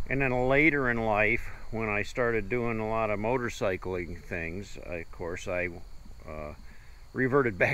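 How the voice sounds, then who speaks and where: A man with a Midwestern American accent, fairly low in pitch, at a moderate pace with ordinary pitch variation. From US Midwest, Ohio. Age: 60s. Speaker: travel vlogger. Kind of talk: casual chat.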